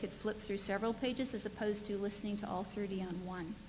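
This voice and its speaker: Over light background noise, a woman speaks at a fairly quick pace with fairly even intonation. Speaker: conference presenter. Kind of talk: conference presentation. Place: hall.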